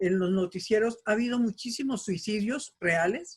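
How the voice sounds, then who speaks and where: A woman's somewhat breathy voice at a medium pitch, moderate pace, and ordinary pitch variation. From Colombia. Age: 70s. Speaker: participant in community discussion. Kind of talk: casual discussion.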